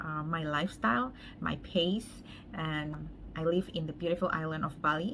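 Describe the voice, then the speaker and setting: With a bright, sharp tone and a fairly low pitch, a woman speaks at a moderate pace with ordinary pitch variation. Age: 30s. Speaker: makeup artist. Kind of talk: makeup tutorial, casual chat.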